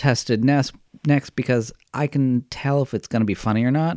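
On a very clean recording with a silent background, a man with an American accent speaks at medium pitch in a dark, mellow tone with ordinary pitch variation. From Massachusetts (Stoneham, near Boston). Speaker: actor and comedic performer. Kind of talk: casual chat.

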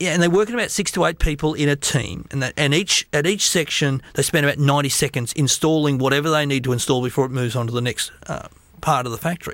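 This voice races along at a very fast pace with hardly any pauses and ordinary pitch variation. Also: man, fairly high pitch for a man. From Australia. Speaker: business speaker and author. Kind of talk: interview.

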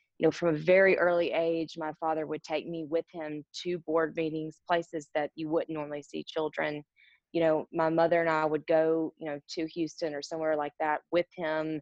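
A woman speaks at a very deep, low pitch with monotone, flat intonation. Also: moderate pace. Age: 30s. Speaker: business owner. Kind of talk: interview.

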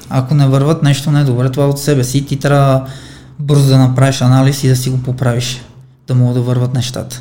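Somewhat breathy, a man talks at a fairly quick pace and medium pitch. His intonation is monotone and flat, with audible room echo. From Armenia. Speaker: professional boxer. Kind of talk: interview.

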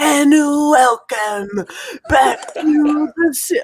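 The voice is a put-on character voice pitched high. It has a raspy texture. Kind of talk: serious announcer delivery.

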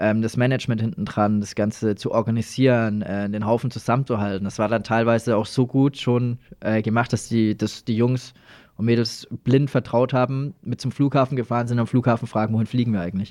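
A man at medium pitch speaks in a normal speaking voice. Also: fairly even intonation, fairly quick pace. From Lower Franconia, Germany (Schweinfurt area). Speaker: breakdance performer and entertainment company manager. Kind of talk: casual interview. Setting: studio.

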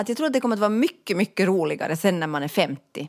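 A woman talks at a very fast pace with very wide swings in pitch. The sound is dry and close, with no echo. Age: 40s. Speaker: podcast co-host. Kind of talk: casual chat.

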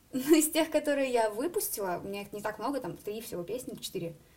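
The woman's intonation is lively. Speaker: singer and student. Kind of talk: interview.

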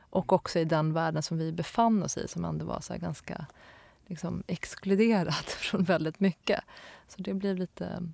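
Speaking with a fairly low pitch and vocal fry, a woman uses ordinary pitch variation in a very clean recording with a silent background. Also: moderate pace, dry, close sound with no echo. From Stockholm area, Sweden. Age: 30s. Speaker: graphic designer. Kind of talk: interview. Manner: hesitant, many fillers.

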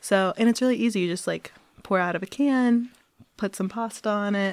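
The speaker is a woman with a Midwestern American accent. Her pitch sits in the medium range. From US Midwest, Cincinnati, Ohio. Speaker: Fulbright student. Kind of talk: casual interview chat.

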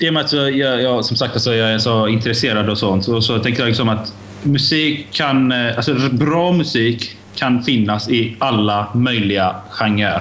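With audible room echo and noticeable background noise, a man of medium pitch talks at a fairly slow pace with hardly any pauses, ordinary pitch variation and very even loudness. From Iran. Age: 20s. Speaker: podcast guest. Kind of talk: casual chat. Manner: halting.

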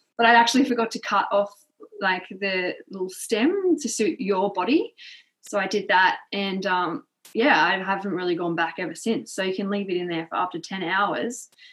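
A woman with a medium-pitched voice and ordinary pitch variation speaks at a moderate pace. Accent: Australian. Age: 20s. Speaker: primary school teacher. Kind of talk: casual interview chat.

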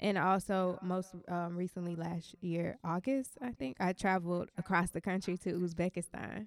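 A woman with an ordinary speaking voice talks at a moderate pace and medium pitch, with fairly even intonation. The sound is dry and close, with no echo. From US South. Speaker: DJ. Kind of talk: interview.

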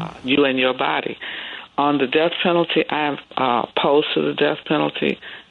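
The speaker has an American accent and a moderate pace. Noticeable background noise runs underneath. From Chicago (Chatham). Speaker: pastor and former lawyer. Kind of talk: radio interview, faith commentary.

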